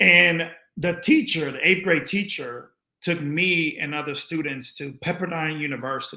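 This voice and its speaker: A man's fairly high, bright, sharp voice with a slight Spanish accent, fairly slow pace and ordinary pitch variation. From Panama. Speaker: former pro basketball player. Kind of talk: interview.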